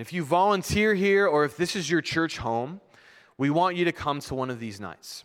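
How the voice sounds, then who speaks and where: In a very clean recording with a silent background, a man with a fairly high pitch talks at a moderate pace with lively intonation in a normal speaking voice. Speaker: pastor. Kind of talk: sermon. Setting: church.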